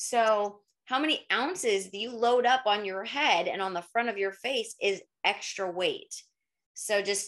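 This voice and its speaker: Over a quiet background, a woman talks at a fairly slow pace with ordinary pitch variation. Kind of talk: interview answer. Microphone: webcam.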